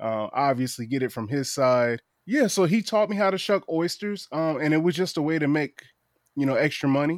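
A man with an American accent in a normal speaking voice, fairly high in pitch, fairly quick, with lively intonation, on a very clean recording with a silent background. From Eastern Shore of Virginia. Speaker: oyster shucker and raw bar business owner. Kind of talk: casual interview chat. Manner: casual, lots of fillers (um, like).

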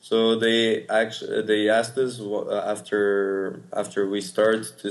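With a Portuguese accent, a man speaks slowly-ish at a fairly low pitch and fairly even intonation. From Portugal. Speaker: startup co-founder, university student. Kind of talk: interview. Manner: halting.

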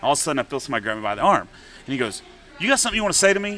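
A man with an American accent speaks at a high pitch with very wide pitch swings. There is noticeable background noise. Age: 40s. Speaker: singer-songwriter. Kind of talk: casual chat. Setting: bar venue.

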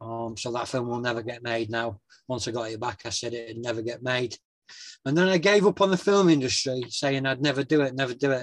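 A man with a Yorkshire accent speaks with ordinary pitch variation. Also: medium pitch for a man, fairly quick pace. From northern England, West Yorkshire (near Wakefield). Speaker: actor, writer and author. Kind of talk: interview conversation.

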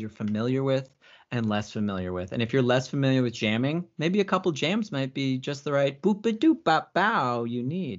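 In an American accent, a man with an ordinary speaking voice talks at a fairly quick pace with medium pitch and lively intonation. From US Southwest (Phoenix, Arizona). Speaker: improv comedian. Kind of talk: casual chat. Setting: video call.

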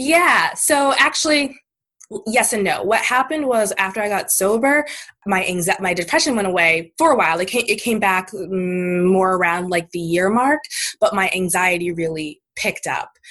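A woman with an American accent and a plain, everyday voice, medium in pitch, at a moderate pace with lively intonation. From Maine, US. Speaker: writer and sobriety advocate. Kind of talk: casual interview.

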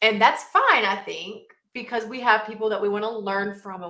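A woman with a Southern US accent talks at a fairly quick pace. Her tone is animated and her pitch fairly high. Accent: Southern US (Georgia). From US South, southern Georgia. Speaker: marketing coach. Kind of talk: interview. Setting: video call.

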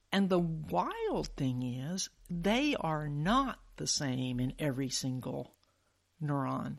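A woman with a very deep, low voice talks in an American accent. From US South, Alabama (Huntsville). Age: 60s. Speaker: physician and science podcast host. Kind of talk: interview. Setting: remote call.

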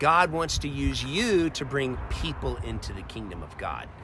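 A man's voice with audible room echo. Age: 40s. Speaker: pastor. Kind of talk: sermon.

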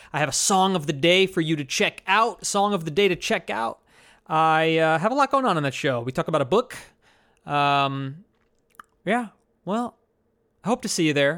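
A man with an American accent, fairly high in pitch, speaks at a moderate pace with lively intonation and long, frequent pauses on a very clean recording with a silent background. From New Jersey. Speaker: podcast host and stand-up comedian. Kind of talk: unscripted solo monologue. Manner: casual, rambling delivery with laughs.

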